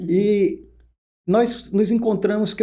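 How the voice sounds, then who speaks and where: Dark and mellow in tone, a man speaks with a northeastern Brazilian accent. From Pernambuco, northeast Brazil. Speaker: oncologist. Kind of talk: podcast interview.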